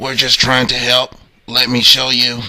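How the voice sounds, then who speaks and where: In a raspy, put-on character voice, a man talks at a moderate pace with medium pitch. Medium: read story.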